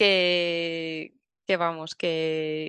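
A woman is speaking against a quiet background. The sound is dry and close, with no echo. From Valencia, Spain. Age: 30s. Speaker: travel blogger and mother. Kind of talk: casual interview chat.

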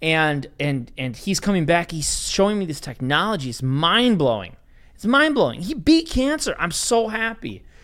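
In a very clean recording with a silent background, a man with an American accent speaks at a moderate pace in a high pitch, his animated tone carrying very wide pitch swings. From Wisconsin. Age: 30s. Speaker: float center owner. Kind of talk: casual chat.

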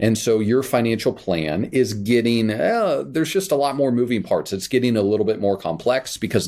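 Recorded very cleanly with a silent background, a man with an American accent speaks in a plain, everyday voice at a moderate pace with lively intonation. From Kansas. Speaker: financial planner podcast host. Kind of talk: educational podcast monologue. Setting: recording away from studio at parents' house.

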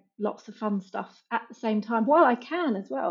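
A woman speaks at a moderate pace. Her voice sits fairly high. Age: 40s. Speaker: digital marketing agency founder. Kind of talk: casual interview chat.

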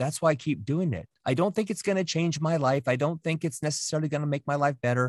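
Animated in tone, a man speaks with ordinary pitch variation in a dry, close sound with no echo. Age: 50s. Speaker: navy veteran, creative agency CEO and drummer. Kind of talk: interview. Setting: video call.

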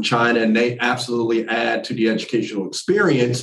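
A man with an American accent and an unremarkable speaking voice, medium in pitch, at a fairly quick pace. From New Jersey. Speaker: university admissions director. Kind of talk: interview conversation.

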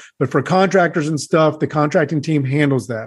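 A man talks at a fairly quick pace with a fairly high pitch. He has an ordinary speaking voice, and the background is quiet. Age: 30s. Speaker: real estate investor. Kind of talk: interview.

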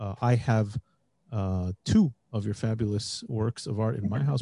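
Somewhat breathy and dark, mellow in tone, a man with an American accent speaks at medium pitch, with a dry, close sound and no echo. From United States. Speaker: podcast host. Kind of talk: casual chat.

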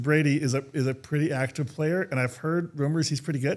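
A man with an American accent speaks in a plain, everyday voice. His pitch is fairly high, with ordinary pitch variation. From Minnesota. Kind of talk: interview.

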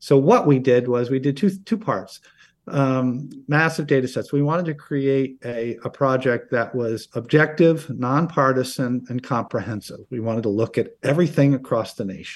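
In a plain, everyday voice with an American accent, the speaker moves at a moderate pace with hardly any pauses and ordinary pitch variation against a quiet background. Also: man, medium pitch for a man. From upstate New York (Oneonta). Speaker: political science professor. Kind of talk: interview.

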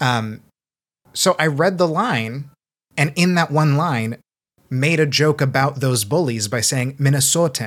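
A man with a plain, everyday voice and a General American accent, fairly high in pitch with ordinary pitch variation, on a very clean recording with a silent background. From US Pacific Northwest. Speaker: audiobook narrator. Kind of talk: casual panel discussion.

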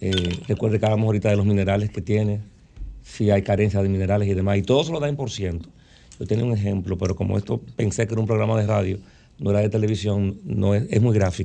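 Very fast male speech, fairly low in pitch, dark and mellow in tone, with fairly even intonation. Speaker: doctor. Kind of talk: interview.

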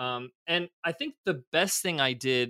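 A man with an American accent speaks at a medium pitch in a bright, sharp tone, with ordinary pitch variation, recorded dry and close with no echo. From United States. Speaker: entrepreneur. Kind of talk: interview. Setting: video call.

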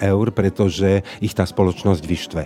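There is noticeable background noise in this clip. A man with a very deep, low pitch speaks at a moderate pace. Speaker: journalist. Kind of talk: interview.

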